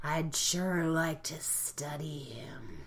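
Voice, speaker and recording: A put-on character voice at a middle pitch, with light background noise. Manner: creepy.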